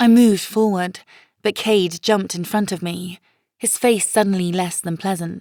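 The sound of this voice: An unforced reading voice is heard, with quiet surroundings.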